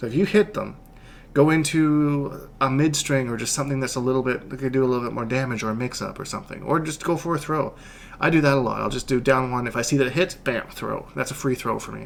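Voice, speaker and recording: At a very fast pace, a man speaks with a medium pitch and ordinary pitch variation over light background noise. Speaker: video game tutorial creator and coach; video game tutorial creator, coach. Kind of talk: tutorial. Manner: casual, animated.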